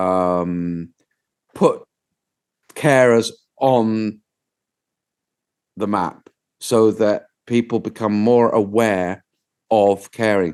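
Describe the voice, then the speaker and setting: With a British accent, a man speaks very slowly in a fairly low voice, his intonation fairly even and his pauses long and frequent. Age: 60s. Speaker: documentary filmmaker. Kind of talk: interview conversation.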